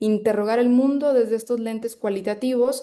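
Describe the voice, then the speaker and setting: A woman with a dark, mellow tone keeps her intonation fairly even. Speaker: psychology researcher and lecturer. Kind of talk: lecture.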